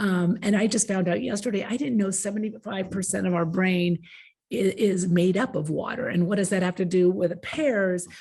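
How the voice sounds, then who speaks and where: A woman's voice, somewhat breathy with a dark, mellow tone, comes at a moderate pace. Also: medium pitch for a woman, ordinary pitch variation. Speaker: agricultural education presenter. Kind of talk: conference presentation.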